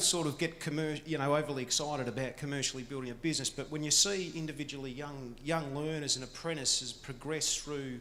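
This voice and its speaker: At a fairly quick pace, a man with an Australian accent speaks fairly high in pitch, with ordinary pitch variation. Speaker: conference speaker on apprenticeships. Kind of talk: presentation.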